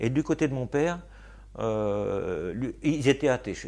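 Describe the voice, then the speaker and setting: A man speaks at a fairly slow pace with vocal fry and very wide pitch swings. The recording is very clean, with a silent background. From Normandy, France (Argentan). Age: 60s. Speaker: poet and gardener. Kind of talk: interview. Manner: hesitant, many fillers.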